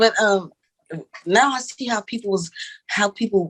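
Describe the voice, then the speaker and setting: Recorded dry and close with no echo, a woman with a Louisiana accent uses ordinary pitch variation. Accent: Southern US, country Louisiana. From Louisiana (Monroe), US South. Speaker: podcast co-host. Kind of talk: casual chat. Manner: casual, profane.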